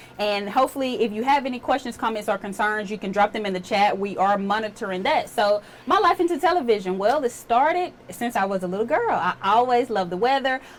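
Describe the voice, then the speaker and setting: The speech races at a very fast pace with hardly any pauses and lively intonation. Noticeable background noise is present. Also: woman, fairly high pitch for a woman. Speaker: TV meteorologist. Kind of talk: casual chat. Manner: relaxed.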